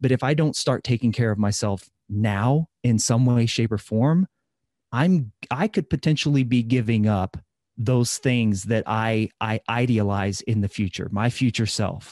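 A man speaks with a Midwestern American accent. The background is quiet. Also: medium pitch for a man, ordinary pitch variation, fairly slow pace, very even loudness. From US Midwest. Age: 30s. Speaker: fitness coach and podcaster. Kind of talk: interview.

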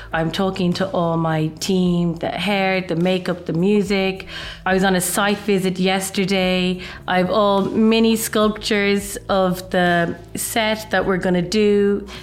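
A woman with an Irish accent talks at a fairly slow pace in a medium pitch, her intonation monotone and flat and her loudness very even. Audible room echo and noticeable background noise come through. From Ireland. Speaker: fashion designer. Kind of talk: casual interview.

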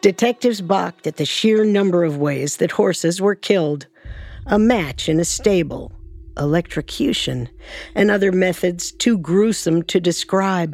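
With music in the background, the woman moves through her words at a moderate pace. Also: medium pitch for a woman, ordinary pitch variation. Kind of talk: true-crime narration. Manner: even, suspenseful, steady narration.

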